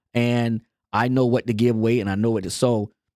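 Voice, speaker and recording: Recorded dry and close with no echo, a man speaks at medium pitch. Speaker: marriage podcast co-host. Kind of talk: casual chat. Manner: soft-spoken.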